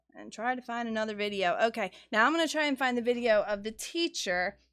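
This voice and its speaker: With a plain, everyday voice, a woman speaks at a fairly high pitch with lively intonation on a very clean recording with a silent background. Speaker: livestream co-host. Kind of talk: casual live discussion. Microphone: far from the mic.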